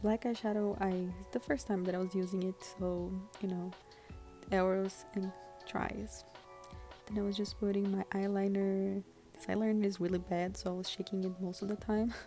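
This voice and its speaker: A woman with a non-native accent talks at a moderate pace in a flat monotone, leaving long, frequent pauses. Music plays in the background. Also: medium pitch for a woman. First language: not English. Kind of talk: casual makeup tutorial voiceover.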